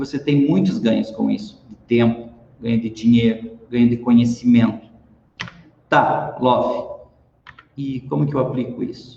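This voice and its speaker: The pace is fairly slow, with long, frequent pauses. Pitch variation is ordinary. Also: man, medium pitch for a man. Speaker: lecturer / business speaker. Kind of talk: online talk. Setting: live stream.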